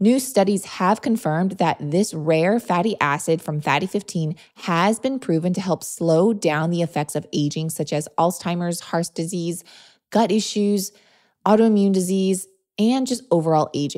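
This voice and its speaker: A woman's medium-pitched voice in an animated tone, at a moderate pace with ordinary pitch variation. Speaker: podcast host, nutrition. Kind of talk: solo podcast monologue.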